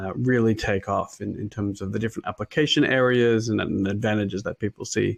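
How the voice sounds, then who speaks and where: Over a quiet background, the speaker talks at a moderate pace in an Australian accent with fairly even intonation. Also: man. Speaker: machine learning consultant, invited speaker. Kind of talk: conference talk. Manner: halting, many fillers.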